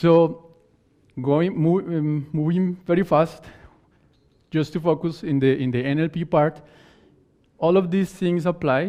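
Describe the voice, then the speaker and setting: Speaking with a Spanish accent, a man with a fairly high pitch and a dark, mellow tone talks at a fairly slow pace, with long, frequent pauses. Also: fairly even intonation. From Colombia. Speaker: conference speaker. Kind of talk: conference talk. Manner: halting.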